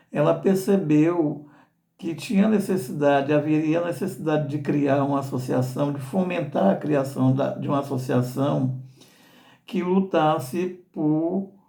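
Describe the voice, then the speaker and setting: A man with a dark, mellow tone and fairly high pitch talks at a fairly slow pace. His pitch variation is ordinary, and audible room echo is heard. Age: 60s. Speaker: association director and albinism advocate. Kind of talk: informational talk. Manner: halting with repetitions.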